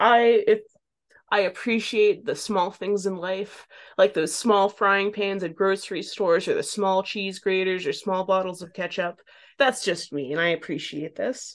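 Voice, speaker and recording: A woman talks at a moderate pace in a plain, everyday voice against a quiet background. Her pitch sits in the medium range with ordinary variation. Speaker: podcast host and cannabis reviewer. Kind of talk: casual chat.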